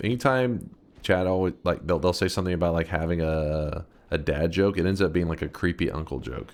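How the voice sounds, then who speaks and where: A man with an American accent speaks in a very deep, low voice. The recording is very clean, with a silent background. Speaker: gaming streamer. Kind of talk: live gameplay commentary. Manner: casual, joking.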